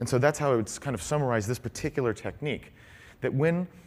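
A voice reading aloud in a natural voice

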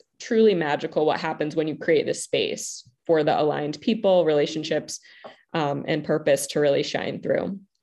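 This woman has a normal speaking voice with a fairly low pitch and talks at a moderate pace. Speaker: love empowerment coach. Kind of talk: panel discussion in a live online event. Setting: video call with online audience.

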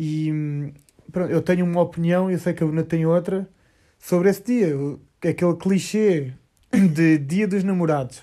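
A man's high-pitched, dark, mellow voice, fairly slow and fairly even in intonation, with long, frequent pauses. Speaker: podcast co-host, surfer. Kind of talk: casual chat. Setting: lying in bed at night.

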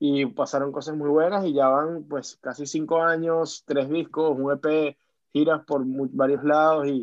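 This man's voice sits fairly high in pitch. His intonation stays fairly even. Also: fairly slow pace. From Venezuela. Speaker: singer-songwriter. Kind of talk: interview. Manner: halting, many repetitions.

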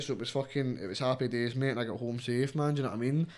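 A man with a Scottish accent talks very fast in a medium pitch. His intonation stays fairly even over noticeable background noise. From Scotland. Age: 20s. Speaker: rapper. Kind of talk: casual chat.

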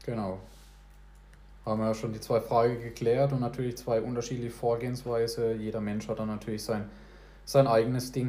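A man's medium-pitched, dark, mellow, somewhat breathy voice, fairly quick yet broken by long, frequent pauses, monotone and flat, with audible room echo. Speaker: podcast host. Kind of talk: casual chat. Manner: talkative.

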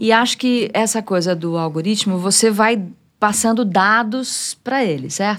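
A woman has an unremarkable speaking voice with a fairly high pitch. She speaks at a fairly slow pace with ordinary pitch variation. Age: 50s. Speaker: music journalist and radio presenter. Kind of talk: casual chat.

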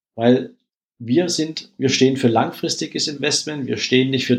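Speaking at a moderate pace, a man with a plain, everyday voice keeps a medium pitch and ordinary pitch variation. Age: 40s. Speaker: wealth manager, former bank employee. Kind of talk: interview.

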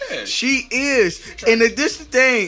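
A man talks in a raised, projected voice. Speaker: podcast host. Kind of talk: casual chat.

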